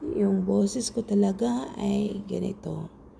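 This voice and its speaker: Over music in the background, a woman speaks at a medium pitch with audible room echo. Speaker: home cook vlogger. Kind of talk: cooking tutorial. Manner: casual, chatty.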